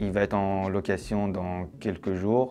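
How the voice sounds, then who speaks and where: In a fairly low voice, a man delivers his words with monotone, flat intonation. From Iran, moved to France at 13. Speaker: TV producer-director giving investor testimonial. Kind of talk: testimony. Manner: hesitant, many fillers.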